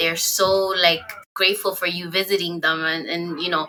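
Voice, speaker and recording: A woman's fairly low voice in a Spanish accent, at a moderate pace with monotone, flat intonation. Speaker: podcast host. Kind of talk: casual chat.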